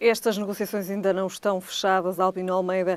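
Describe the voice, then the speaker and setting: Speech comes fairly quickly in a monotone, flat intonation. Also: woman. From Portugal. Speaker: tv news host. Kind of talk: interview. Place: studio. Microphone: lapel.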